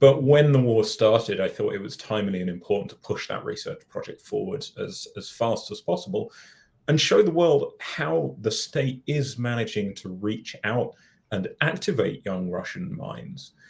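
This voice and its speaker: A man's loudness swings widely as he talks at a moderate speed. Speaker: researcher and author. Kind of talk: interview.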